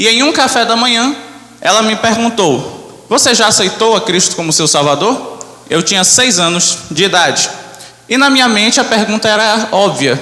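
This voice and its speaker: Projecting a raised voice at a high pitch, a man speaks at a moderate pace with ordinary pitch variation amid noticeable background noise and audible room echo. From Brazil, Manaus. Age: 20s. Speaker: church member giving testimony, graphic designer. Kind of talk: testimony. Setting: church.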